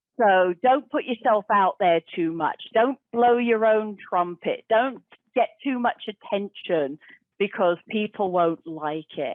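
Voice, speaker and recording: Lively in intonation, a woman speaks with an English accent at a fairly high pitch. She talks at a very slow pace. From England. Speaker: professional storyteller and speaker. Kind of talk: guided exercise.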